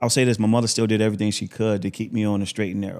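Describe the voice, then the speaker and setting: A man with an American accent speaks in a monotone, flat intonation at a fairly low pitch. The recording is very clean, with a silent background. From Buffalo, New York. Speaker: motivational speaker, former prisoner. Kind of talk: podcast interview testimony. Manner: talkative, fluent; frequent um fillers.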